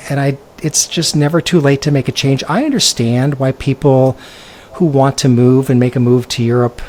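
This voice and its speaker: Here a man speaks with a West Coast US accent at a medium pitch and a moderate pace. His loudness stays very even and his intonation fairly even. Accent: General American (West Coast). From California. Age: 60s. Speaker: expat interview guest, former realtor. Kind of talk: casual interview chat.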